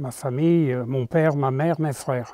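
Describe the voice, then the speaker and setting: Very slowly, a man talks in a dark, mellow tone with ordinary pitch variation. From Paris region, France (Argenteuil). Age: 90s. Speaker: retired priest. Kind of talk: testimony. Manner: halting.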